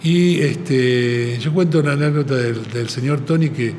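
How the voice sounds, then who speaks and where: A man with a fairly high voice speaks with fairly even intonation. Noticeable background noise and audible room echo are present. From Argentina. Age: 70s. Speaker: advertising agency president. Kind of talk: podcast interview. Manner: halting, many fillers.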